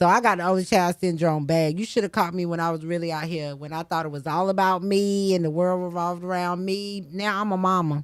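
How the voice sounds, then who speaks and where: On a very clean recording with a silent background, a woman with an unremarkable speaking voice and an American accent talks at a fairly quick pace with hardly any pauses, fairly low pitch and fairly even intonation. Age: 30s. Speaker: radio host. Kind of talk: casual chat.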